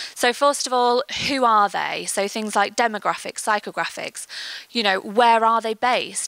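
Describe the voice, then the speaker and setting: Fairly quick and bright, sharp in tone, this voice has fairly even intonation and an English accent. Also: woman. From England. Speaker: marketing agency creative lead. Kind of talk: conference talk. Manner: fast.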